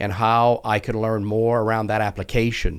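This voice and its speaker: Fairly even intonation in an American accent on a very clean recording with a silent background. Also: man. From US South, South Louisiana. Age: 60s. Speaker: tech company CEO. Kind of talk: podcast interview.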